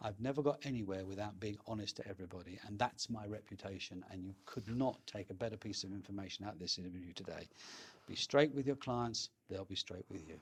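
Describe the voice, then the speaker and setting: A man's very fast, somewhat breathy voice with a fairly low pitch, ordinary pitch variation and a London accent. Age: 60s. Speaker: estate agent. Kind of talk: interview. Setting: in person.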